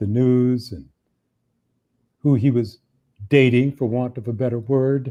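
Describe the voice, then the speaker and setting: Here is a man with a medium pitch. His tone is dark and mellow. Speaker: auctioneer. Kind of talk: live auction patter / event hosting.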